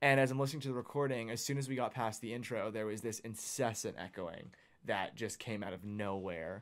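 In a very clean recording with a silent background, a man with a Southwestern US accent talks at a fairly quick pace, medium in pitch with ordinary pitch variation. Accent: American (Southwest). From Arizona. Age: 20s. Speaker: podcast co-host. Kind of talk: casual chat.

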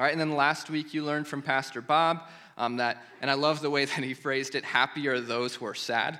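A man with an American accent talks at a fairly quick pace in a fairly high pitch and a bright, sharp tone. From US Midwest, eastern Iowa. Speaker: pastor. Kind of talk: sermon. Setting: church.

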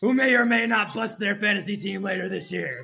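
A man with a high pitch talks at a moderate pace in a raised, projected voice. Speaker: recap reader. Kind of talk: comedic scripted recap. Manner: animated, jokey.

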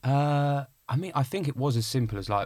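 Somewhat breathy, a man talks at a moderate pace with ordinary pitch variation on a very clean recording with a silent background. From Essex, England (Clacton-on-Sea). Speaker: actor. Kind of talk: casual interview.

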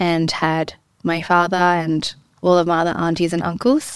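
A woman has an ordinary speaking voice with a fairly low pitch. She speaks at a fairly slow pace with fairly even intonation. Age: 20s. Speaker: entrepreneur. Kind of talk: interview. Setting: studio.

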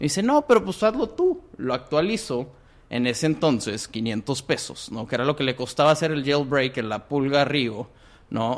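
A man with a plain, everyday voice, fairly high pitch, lively intonation and a moderate pace. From Monterrey, Mexico. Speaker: entrepreneur. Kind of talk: interview. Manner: filler-heavy casual speech.

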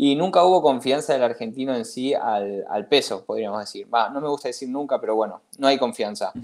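Medium pitch from a man, with fairly quick delivery. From Catalonia, Spain until 15, then Argentina. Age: young. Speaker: investor, finance enthusiast. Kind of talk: interview conversation. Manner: halting, many fillers.

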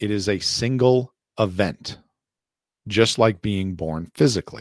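On a very clean recording with a silent background, a man speaks at a fairly slow pace in a fairly low pitch with ordinary pitch variation. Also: dry, close sound with no echo. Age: 40s. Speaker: podcast host and Bible teacher. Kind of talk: Bible teaching lesson. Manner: reading from notes.

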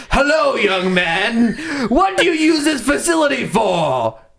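Putting on a character voice at an extremely high pitch, a man speaks at a fairly slow pace with audible echo. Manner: menacing, drawn out.

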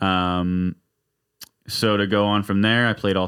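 A man with an American accent, very deep and low in pitch, with monotone, flat intonation. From Redding, Northern California. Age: 20s. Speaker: barber and drummer. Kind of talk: casual chat.

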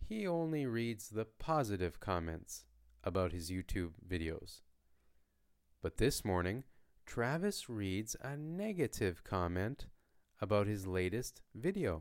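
On a very clean recording with a silent background, a man with a Canadian accent speaks slowly at a fairly low pitch, with very wide pitch swings and long, frequent pauses. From Canada. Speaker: language teacher podcaster. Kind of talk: story reading for learners; question and answer teaching. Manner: slow, clear.

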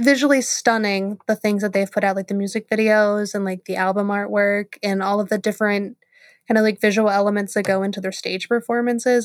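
A woman with a plain, everyday voice speaks at medium pitch and a fairly quick pace. Her intonation stays fairly even, and the sound is dry and close with no echo. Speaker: podcast co-host. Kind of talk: casual chat.

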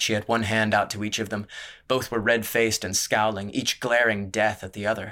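An unforced reading voice carries fairly even intonation throughout.

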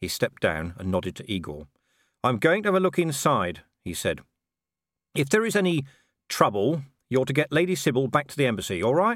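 With vocal fry and an animated tone, this voice moves at a fairly quick pace through very wide pitch swings, big swings in loudness and long, frequent pauses, on a very clean recording with a silent background. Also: man, fairly high pitch for a man. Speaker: audiobook narrator. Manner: animated, shifts between characters with varied voices.

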